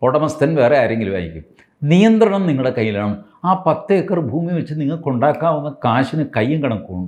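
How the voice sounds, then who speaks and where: Fairly high for a man, his pitch makes very wide swings. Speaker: political commentator. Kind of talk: political commentary monologue. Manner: conversational, halting phrasing.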